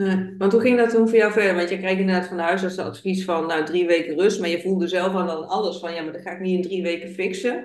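Words pour out at a very fast pace with hardly any pauses. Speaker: podcast host. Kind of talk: interview.

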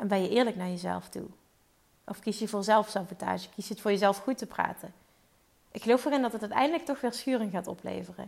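A woman talks at a very fast pace with vocal fry. Her pitch is medium, with ordinary pitch variation. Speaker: podcast host and business coach. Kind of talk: solo podcast monologue. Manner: fluent, easy speaking.

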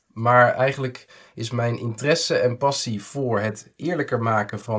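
A man's medium-pitched, ordinary speaking voice at a moderate pace with fairly even intonation, in a very clean recording with a silent background. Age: 30s. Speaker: economist and author. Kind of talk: interview monologue.

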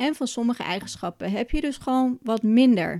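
On a very clean recording with a silent background and a dry, close sound with no echo, a woman speaks at a fairly high pitch with a dark, mellow tone, lively intonation and a moderate pace. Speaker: podcast host and Ayurveda coach. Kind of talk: solo educational podcast.

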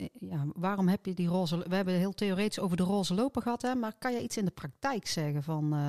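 A woman talks at a very fast pace with hardly any pauses, her medium-pitched voice dark and mellow and her loudness very even. The sound is dry and close with no echo, on a very clean recording with a silent background. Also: ordinary pitch variation. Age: middle-aged. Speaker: podcast co-host, political candidate. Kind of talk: casual chat.

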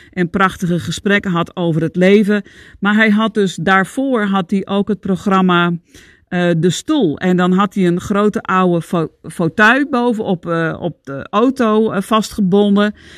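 Recorded very cleanly with a silent background, a woman speaks at a medium pitch with ordinary variation. The sound is dry and close, with no echo. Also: fairly slow pace. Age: 50s. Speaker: podcast host, Chinese medicine coach. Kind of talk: solo monologue, self-help talk. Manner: animated.

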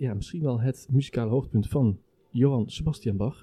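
The voice is somewhat breathy with a dark, mellow tone, lively intonation and a moderate pace. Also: man. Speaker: podcast host and orchestra musician. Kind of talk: casual chat. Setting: brasserie.

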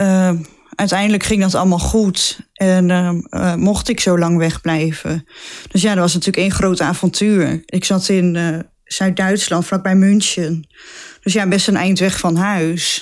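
On a very clean recording with a silent background, a woman speaks at a fairly slow pace. Her intonation is monotone and flat, and her loudness stays very even. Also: medium pitch for a woman. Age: 20s. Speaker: nurse. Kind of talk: casual interview.

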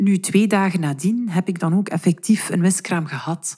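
A woman speaks at a fairly slow pace in a somewhat breathy voice with a dark, mellow tone. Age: 30s. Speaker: teacher and mother. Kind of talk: interview.

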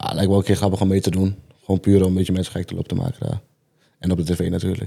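Very fast in pace, the voice has a dark, mellow tone and a flat, monotone intonation, on a very clean recording with a silent background. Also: man, very deep, low pitch for a man. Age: 20s. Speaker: viral festival dancer. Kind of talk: casual chat.

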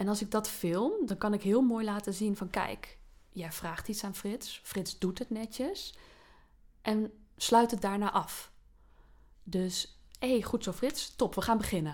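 This woman speaks very slowly, captured on a very clean recording with a silent background. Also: medium pitch for a woman, ordinary pitch variation. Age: 30s. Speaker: teacher. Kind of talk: casual interview.

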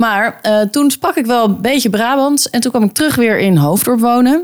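A woman speaks at a fairly high pitch. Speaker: podcast co-host. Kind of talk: casual chat. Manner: animated.

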